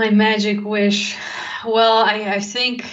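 Audible room echo follows a woman as she talks very slowly. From Netherlands. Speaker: tech community organizer. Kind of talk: casual interview.

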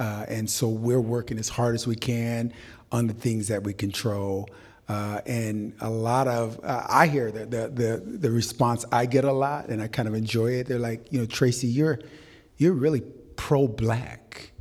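Speaking with an American accent, a man with an unremarkable speaking voice talks fairly slowly at a medium pitch with fairly even intonation. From Waterloo, Iowa. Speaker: development company president, former attorney. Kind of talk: panel discussion. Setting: live event with audience.

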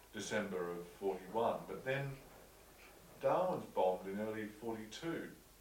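A man's fairly low voice with an Australian accent, very slow pace and lively intonation, over noticeable background noise. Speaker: interviewer. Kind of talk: interview questions.

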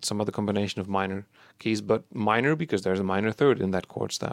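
A man talks at a fairly low pitch. The recording is very clean with a silent background, dry and close with no echo. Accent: Dutch. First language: Dutch. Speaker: podcast co-host, chiptune musician. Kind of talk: casual chat.

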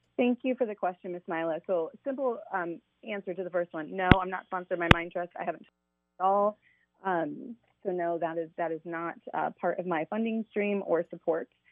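Someone with a Midwestern American accent talks at a moderate pace with ordinary pitch variation. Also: woman, fairly low pitch for a woman. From Indiana (Fort Wayne). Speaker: school principal and political candidate. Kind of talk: radio interview. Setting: phone call.

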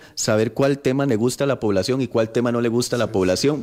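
A man at a medium pitch, with an unremarkable speaking voice and a fairly quick pace. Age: 30s. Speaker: politician. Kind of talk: radio interview.

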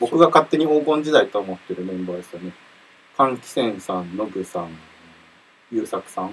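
A man's voice makes very wide pitch swings and big swings in loudness. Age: 20s. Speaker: rock band member and podcast host. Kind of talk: casual chat. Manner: animated.

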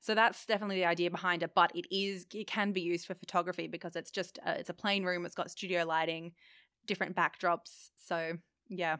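Very fast, monotone and flat, a woman's bright, sharp, fairly low voice in an Australian accent on a very clean recording with a silent background. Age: 20s. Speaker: studio owner. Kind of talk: casual interview. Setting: studio.

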